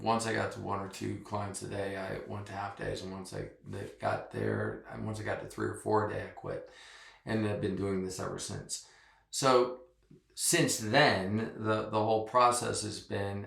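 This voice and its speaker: A man speaks at a moderate pace, his loudness swinging widely, with audible echo from the room. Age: 60s. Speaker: massage therapist. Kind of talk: interview.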